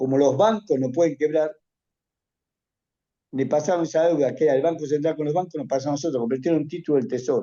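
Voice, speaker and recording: This man's pitch sits fairly high and varies in an ordinary way. He speaks very fast but leaves long, frequent pauses. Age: 70s. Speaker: economist. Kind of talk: interview.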